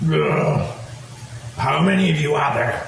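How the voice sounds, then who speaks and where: A man puts on a character voice with a fairly high pitch, speaking at a fairly slow pace. Strong echo surrounds his words. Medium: actual play. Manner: curt.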